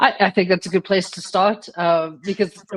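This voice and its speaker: A woman speaks with a South African accent. Her voice is fairly low, and her pace is fairly quick. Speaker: creativity and change coach. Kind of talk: interview.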